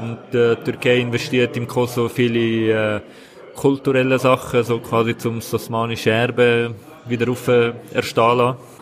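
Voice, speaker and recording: This man's voice sits at a medium pitch and stays monotone and flat. He speaks at a fairly slow pace over noticeable background noise. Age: 20s. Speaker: local politician. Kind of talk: interview. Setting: café at train station.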